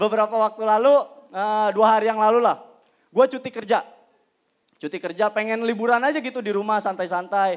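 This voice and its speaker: Against a quiet background, a man with a high pitch talks in an animated tone at a moderate pace, his pitch varying in an ordinary way. He leaves long, frequent pauses. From Indonesia. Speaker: stand-up comedian. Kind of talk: stand-up comedy. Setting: stage with audience. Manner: punchline-driven, acts out characters. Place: stage. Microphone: handheld.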